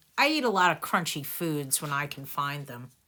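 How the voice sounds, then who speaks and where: A put-on character voice from a woman, very deep and low in pitch, at a moderate pace, on a very clean recording with a silent background. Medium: read story. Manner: mild, earnest.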